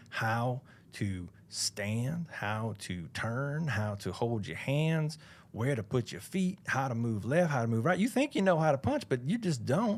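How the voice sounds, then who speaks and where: The speech comes slowly, with very wide pitch swings and a Southern US accent. The recording is very clean, its background silent. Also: man. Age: 40s. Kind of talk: casual chat.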